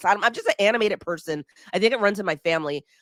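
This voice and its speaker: In a raspy, put-on character voice, a woman speaks at a medium pitch. She goes very fast with lively intonation. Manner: subdued, calmer than usual.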